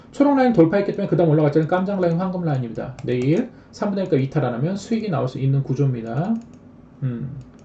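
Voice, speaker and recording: Talking at a very fast pace, a man with a fairly high pitch makes very wide pitch swings. Audible room echo and noticeable background noise fill the recording. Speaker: stock trading streamer. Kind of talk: live stream stock chart lecture.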